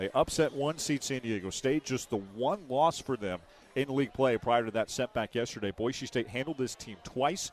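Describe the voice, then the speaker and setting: Dry and close with no echo, a man's medium-pitched voice shows ordinary pitch variation in a normal speaking voice. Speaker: sports play-by-play announcer. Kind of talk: radio basketball play-by-play. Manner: fast.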